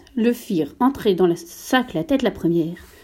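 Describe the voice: A plain reading-aloud voice with lively intonation.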